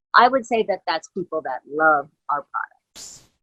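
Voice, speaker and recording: A woman's voice with lively intonation. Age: 60s. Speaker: company co-founder. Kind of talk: motivational address to business network. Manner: warm, informal with hesitations.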